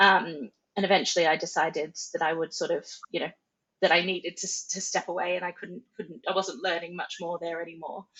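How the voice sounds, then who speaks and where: This woman has an Australian accent and a fairly low pitch. She talks at a fairly quick pace with fairly even intonation. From Australia, Central Coast NSW. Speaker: charity marketing director. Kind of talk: podcast interview.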